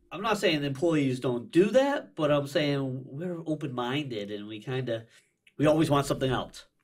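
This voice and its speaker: Someone with an American accent speaks at a moderate pace with ordinary pitch variation and big swings in loudness. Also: man, fairly high pitch for a man, quiet background. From United States. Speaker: business owner; podcast guest. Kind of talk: casual chat. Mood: animated, friendly. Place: studio. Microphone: studio mic.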